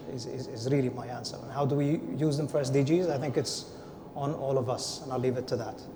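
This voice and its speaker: A man with a non-native accent talks very fast at a medium pitch, his intonation fairly even. Noticeable background noise and audible room echo fill the recording. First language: not English. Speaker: panelist. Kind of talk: panel discussion.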